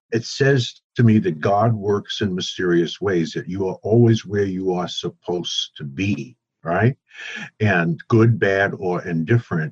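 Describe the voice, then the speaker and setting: In a dry, close recording with no echo, a man with an American accent speaks in a somewhat breathy voice at a fairly low pitch. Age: 70s. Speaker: author and entrepreneur. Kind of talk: interview conversation.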